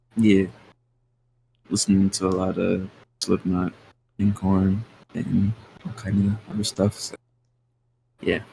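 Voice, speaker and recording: Dark, mellow, somewhat breathy speech in a monotone, flat delivery at a fairly slow pace with long, frequent pauses. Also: man, fairly low pitch for a man. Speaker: rapper. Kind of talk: casual interview. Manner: casual, filler-heavy.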